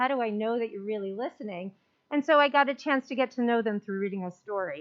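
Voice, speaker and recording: A woman talks at a very fast clip, her fairly high voice rising and falling in a lively way. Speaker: elementary school principal. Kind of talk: report at a school board meeting. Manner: loud; animated.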